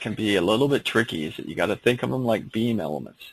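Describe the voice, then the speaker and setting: There is vocal fry in this man's voice, and his intonation is lively. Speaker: engineering software instructor. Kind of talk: online seminar tutorial. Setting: online seminar with screen sharing. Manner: casual, hesitant with fillers.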